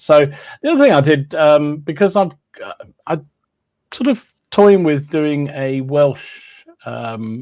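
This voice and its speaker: A man with an English accent speaks at a very slow pace. His pitch varies in an ordinary way. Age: 60s. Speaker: podcast co-host, hobby wargamer. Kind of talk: casual chat.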